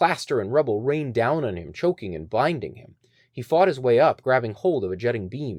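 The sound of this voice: The intonation here is lively. It is an unforced reading voice.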